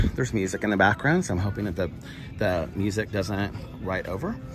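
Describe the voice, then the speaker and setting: Music runs underneath. Over it, a man's voice carries the speech. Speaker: vlogger. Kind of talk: casual vlog chat. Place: shop. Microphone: phone near.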